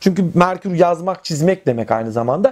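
His high-pitched voice has a dark, mellow tone, and this man talks at a fairly quick pace with very wide pitch swings. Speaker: astrology channel host. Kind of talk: solo tutorial on astrology. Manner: halting, many fillers.

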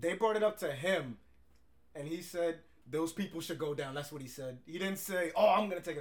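A man speaks at a fairly quick pace in a high pitch, his tone animated, with ordinary pitch variation. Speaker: podcast host. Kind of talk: casual chat.

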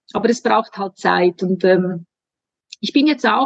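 A woman with a normal speaking voice and ordinary pitch variation keeps a moderate pace in a dry, close sound with no echo. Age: 40s. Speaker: hormone coach. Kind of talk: casual chat.

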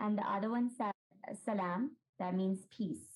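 Somewhat breathy and fairly high in pitch, a woman speaks at a fairly slow pace with ordinary pitch variation. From Pakistan. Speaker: artist. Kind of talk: interview.

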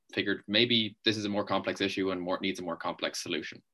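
Against a quiet background, a man speaks with an Irish accent. His pitch is fairly low and his pace very fast. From Ireland. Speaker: student media interviewer. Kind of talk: interview.

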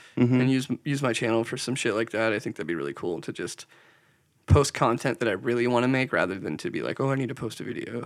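Very fast speech from a man, with vocal fry and ordinary pitch variation. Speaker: podcast co-host and video editor. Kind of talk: casual chat.

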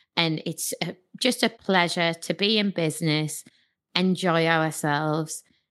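A woman with a Geordie accent, fairly low in pitch, with fairly even intonation and a fairly slow pace, on a very clean recording with a silent background. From northern England, Newcastle. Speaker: entrepreneur. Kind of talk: interview conversation.

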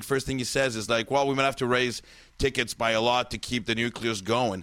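A man with a French accent at a very fast pace, medium pitch, bright and sharp in tone, with ordinary pitch variation. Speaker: podcast host, comedian. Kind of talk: casual chat. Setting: studio. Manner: animated.

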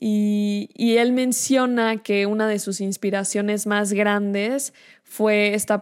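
A woman's medium-pitched voice, very slow and in a monotone, flat intonation, on a very clean recording with a silent background. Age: young. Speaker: podcast host. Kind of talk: solo monologue on film.

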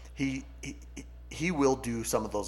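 With an American accent, a man speaks in a somewhat breathy voice. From California. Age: 40s. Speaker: sales coach and business founder. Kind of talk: casual chat.

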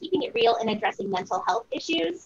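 With a plain, everyday voice, a woman speaks at a fairly high pitch with lively intonation. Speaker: co-host. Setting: video call.

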